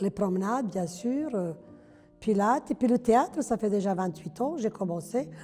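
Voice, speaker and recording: At a moderate pace and medium pitch, a woman speaks in a Yugoslav accent with lively intonation while music plays in the background. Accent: sing-song Yugoslav accent in French. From former Yugoslavia. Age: 70s. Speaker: retired hairdresser, amateur theatre actor. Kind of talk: campaign testimonial interview. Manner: outspoken; hesitant, conversational.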